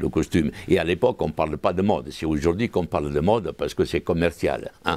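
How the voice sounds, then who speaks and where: Speaking fairly quickly with a strong Italian accent, a man uses a very deep, low voice with ordinary pitch variation. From southern Italy, Calabria. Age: 80s+. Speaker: costume designer, museum founder. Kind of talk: interview answer. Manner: passionate, flamboyant.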